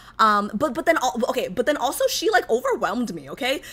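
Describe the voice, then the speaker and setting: A woman with an American accent speaks at a high pitch and moderate pace in a raised, projected voice. Her tone is animated, bright and sharp. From United States. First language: not English. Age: 20s. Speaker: streamer. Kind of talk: casual chat. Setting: livestream.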